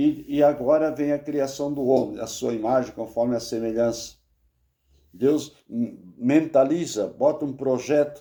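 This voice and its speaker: Fairly slow, fairly even speech from a man, fairly high in pitch, with a dark, mellow tone. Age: 70s. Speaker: bible teacher. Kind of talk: bible study lecture. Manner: halting.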